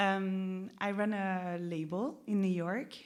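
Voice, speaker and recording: A woman with a French accent speaks at a medium pitch, and audible room echo is present. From France. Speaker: interviewer, record label head. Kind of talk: public onstage interview. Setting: stage with audience. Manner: casual, hesitant with fillers.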